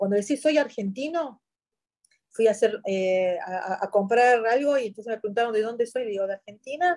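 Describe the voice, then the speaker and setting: At a fairly quick pace, a woman speaks with a fairly high pitch and lively intonation. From Syria, Yabrud near Lebanese border. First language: Arabic (speaking Spanish). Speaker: journalist. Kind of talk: interview.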